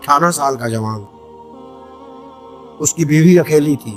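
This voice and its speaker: Ordinary pitch variation with music in the background. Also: man. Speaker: Islamic preacher. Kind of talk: Islamic sermon with storytelling. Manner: emotional, passionate.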